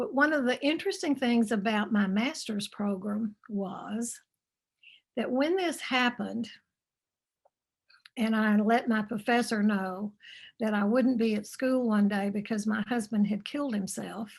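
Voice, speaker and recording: A woman's somewhat breathy, fairly high voice with a slight Texan accent, ordinary pitch variation, a fairly slow pace, and long, frequent pauses. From Texas. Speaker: author and grief speaker. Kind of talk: interview. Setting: video call.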